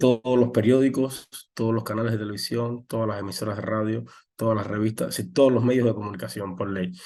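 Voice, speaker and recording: Dark and mellow in tone, a man speaks at medium pitch. His pitch varies in an ordinary way. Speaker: journalist. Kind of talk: interview. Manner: fast; halting.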